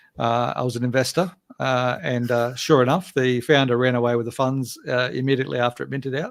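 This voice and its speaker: A man with an Australian accent at medium pitch, on a very clean recording with a silent background. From Australia, Gold Coast. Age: 50s. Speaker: game company founder and writer. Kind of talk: casual interview chat. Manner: hesitant with many fillers.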